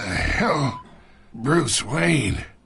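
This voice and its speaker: A raspy, put-on character voice comes through. Its pitch makes very wide swings. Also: man, fairly high pitch for a man. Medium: short film. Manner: sardonic, sly.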